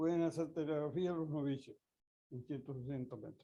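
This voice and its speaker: A man talks at a moderate pace with fairly even intonation. His fairly high voice carries a dark, mellow tone. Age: 80s+. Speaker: amateur radio instructor. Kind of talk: lecture. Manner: halting.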